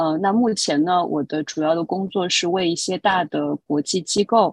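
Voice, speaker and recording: Recorded with a dry, close sound, no echo, and a quiet background, a woman talks at a fairly slow pace. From China, Shanghai. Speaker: international performing arts curator. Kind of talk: interview conversation. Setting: remote call from New York. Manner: hesitant, many filler sounds.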